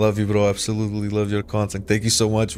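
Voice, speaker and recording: A man with a Portuguese accent talks at a very fast pace and a fairly low pitch. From Portugal. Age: 30s. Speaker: gaming streamer. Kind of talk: casual live stream chat. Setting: live stream. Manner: hesitant, many fillers.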